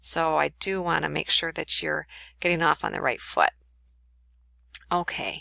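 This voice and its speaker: Long, frequent pauses run through a very clean recording with a silent background and a dry, close sound with no echo. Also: woman. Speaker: college instructor. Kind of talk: recorded lecture tutorial. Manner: fast.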